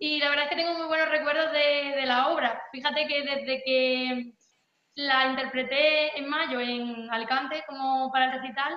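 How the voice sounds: A woman with a high pitch talks in fairly even intonation, and audible room echo surrounds her. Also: moderate pace.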